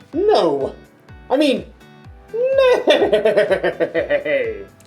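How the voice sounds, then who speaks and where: Faint music plays behind an extremely high-pitched, put-on character voice. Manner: playful, comical.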